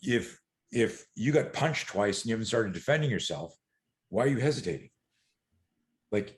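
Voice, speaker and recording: A man speaks in an animated tone with lively intonation, at medium pitch and a moderate pace. His voice is somewhat breathy. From eastern Canada. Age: 60s. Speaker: self-defense and fear management coach. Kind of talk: podcast interview.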